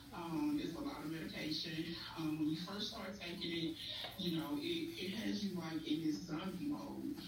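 A woman with a fairly low pitch talks at a moderate pace with lively intonation, amid noticeable background noise and audible room echo. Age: 40s. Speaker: guest sharing mental health experience. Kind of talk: testimony.

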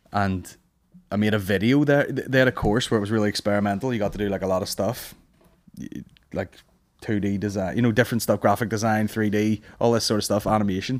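Very fast speech in a Northern Irish accent with fairly even intonation, on a very clean recording with a silent background. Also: man, fairly low pitch for a man. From Northern Ireland. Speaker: stand-up comedian. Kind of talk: casual chat. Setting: studio.

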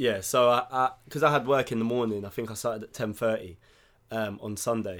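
This man has a normal speaking voice, talking fairly quickly at a medium pitch with fairly even intonation. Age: 20s. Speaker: podcast co-host. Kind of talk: casual chat.

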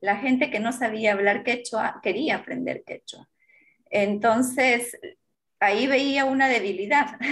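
A woman with a high pitch speaks at a fairly slow pace with fairly even intonation. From Peru, Apurímac (Andean). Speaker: journalist and TV presenter. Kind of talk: interview.

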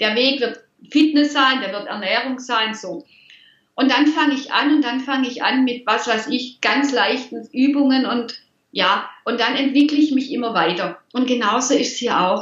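A woman's high voice at a moderate pace with ordinary pitch variation. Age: 50s. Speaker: money mindset coach. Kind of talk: interview.

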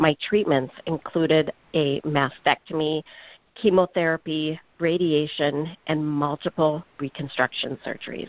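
A woman speaks with a very deep, low pitch. Her pace is fairly slow. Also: fairly even intonation. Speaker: holistic cancer coach and author. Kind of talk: interview testimony.

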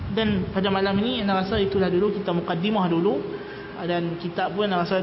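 Amid noticeable background noise and audible room echo, a man with a high voice speaks in a flat monotone. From Malaysia, Kedah (Pendang). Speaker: Islamic religious teacher. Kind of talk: religious lecture. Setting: mosque. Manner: conversational, with fillers.

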